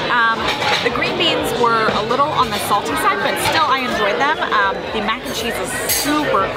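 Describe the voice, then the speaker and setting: Against crowd noise in the background, the speech moves at a moderate pace in a dry sound with no echo. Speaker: vlogger reviewing restaurant. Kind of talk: casual vlog chat. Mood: upbeat, enthusiastic. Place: cafe. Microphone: phone near.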